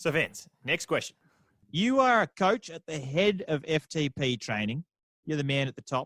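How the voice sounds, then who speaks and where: Recorded very cleanly with a silent background and a dry, close sound with no echo, a man with an Australian accent and a fairly high pitch speaks at a moderate pace through very wide pitch swings. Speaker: podcast co-host. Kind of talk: casual podcast chat and interview.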